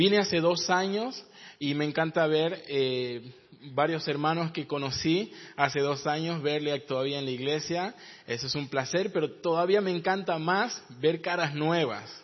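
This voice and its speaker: At a fairly slow pace, a man speaks in an unremarkable speaking voice, pitched fairly high, with ordinary pitch variation. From northern Argentina, Jujuy. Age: 30s. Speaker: pastor and missionary. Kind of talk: sermon. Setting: church.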